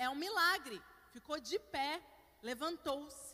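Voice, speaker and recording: A woman's raised, projected voice with very wide pitch swings at a very slow pace, against noticeable background noise. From Curitiba, southern Brazil. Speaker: pastor. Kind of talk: sermon.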